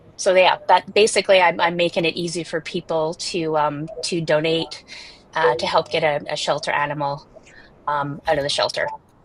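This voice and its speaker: Her pitch fairly low, a woman speaks at a moderate pace. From Canada, Toronto. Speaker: animal welfare tech founder. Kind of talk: panel discussion. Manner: halting, many fillers.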